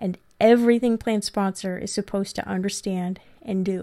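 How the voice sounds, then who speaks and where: A woman at medium pitch with ordinary pitch variation, on a very clean recording with a silent background. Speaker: podcast host and 401k practice coach. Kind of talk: recorded course lesson. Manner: animated when telling her story.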